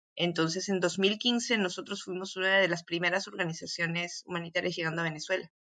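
A woman with a bright, sharp tone talks at a fairly quick pace, with hardly any pauses and fairly even intonation. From Peru, Arequipa. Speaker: physician, humanitarian aid worker. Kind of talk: interview. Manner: halting, frequent repetitions.

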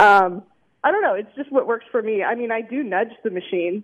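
With an unremarkable speaking voice, a woman talks at a fairly quick pace, her pitch fairly high and her pitch variation ordinary. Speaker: pinball player. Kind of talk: casual interview chat.

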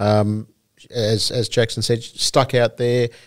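A man speaks with an Australian accent in a flat, monotone delivery. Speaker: harness racing podcast co-host. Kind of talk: casual chat.

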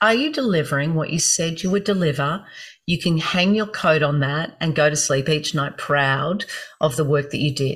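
A woman with an Australian accent has a very deep, low pitch, a somewhat breathy voice, and ordinary pitch variation. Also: moderate pace. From Gold Coast, Queensland, Australia. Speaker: speech and performance coach. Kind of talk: interview.

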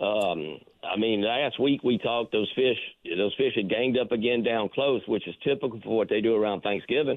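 A man with a Southern US accent, medium pitch, ordinary pitch variation and a moderate pace. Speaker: fishing reporter. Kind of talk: casual chat.

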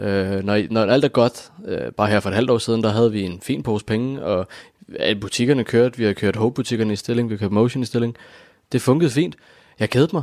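A man talks at a fairly quick pace with medium pitch and ordinary pitch variation. The recording is very clean and dry, close with no echo, over a silent background. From Copenhagen, Denmark. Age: 20s. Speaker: former YouTuber. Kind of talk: interview. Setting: at home. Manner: halting.

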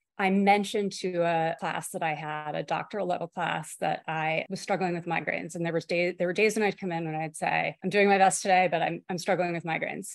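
A woman with an ordinary speaking voice talks at a fairly low pitch with fairly even intonation over a quiet background. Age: 50s. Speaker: professor of education and migraine patient. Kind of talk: interview, personal testimony.

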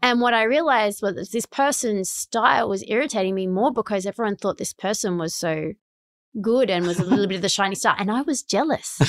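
A woman with an Australian accent speaks at medium pitch and a fairly quick pace, with lively intonation. The very clean recording is dry and close, with no echo and a silent background. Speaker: tech executive. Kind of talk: interview conversation. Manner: animated.

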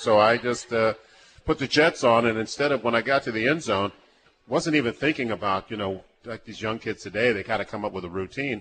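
At a fairly quick pace, a man talks in a normal speaking voice with medium pitch and ordinary pitch variation. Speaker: former football player, guest. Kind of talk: casual conversational interview. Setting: live event at a restaurant with audience.

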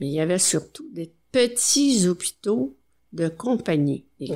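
On a very clean recording with a silent background, a woman with a dark, mellow tone speaks at a very slow pace with very wide pitch swings. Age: 80s+. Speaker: retired nurse. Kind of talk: interview.

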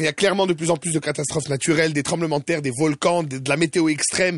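Very fast, animated talk from a man at a fairly high pitch, with ordinary pitch variation and noticeable background noise. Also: hardly any pauses. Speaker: radio host. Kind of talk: casual chat.

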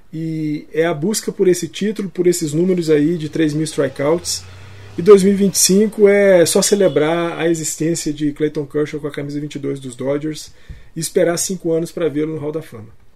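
With ordinary pitch variation, a plain, everyday voice talks at a medium speed. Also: man, fairly high pitch for a man. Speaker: podcast co-host. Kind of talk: casual chat.

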